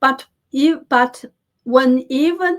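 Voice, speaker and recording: Her pitch high, a woman speaks in a Chinese accent. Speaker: political news commentator. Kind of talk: news commentary. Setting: on camera, home studio. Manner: halting, frequent self-corrections.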